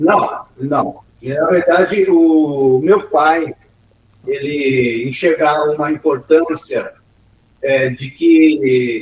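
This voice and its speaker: A man's somewhat breathy voice, fairly high in pitch, at a very slow pace with ordinary pitch variation. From São Paulo state interior, Brazil. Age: 60s. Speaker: engineer and businessman. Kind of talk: interview.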